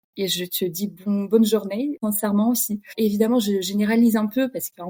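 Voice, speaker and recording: A woman speaks at medium pitch with a dark, mellow, somewhat breathy tone and fairly even intonation. Her moderate pace is captured in a dry, close sound with no echo. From Russia (Kamchatka). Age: 30s. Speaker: podcast guest, expatriate. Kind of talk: casual interview chat.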